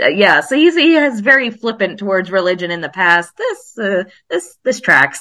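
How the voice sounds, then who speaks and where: Her voice sits at medium pitch, bright and sharp in tone. She talks at a moderate pace with very wide pitch swings. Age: 30s. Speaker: podcast guest, TV fan. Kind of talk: casual chat.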